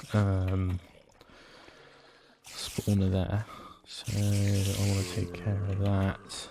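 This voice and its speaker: Very slowly and in a somewhat breathy voice, a man speaks with monotone, flat intonation and long, frequent pauses. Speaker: gaming video creator. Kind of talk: gameplay commentary. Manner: halting, many fillers.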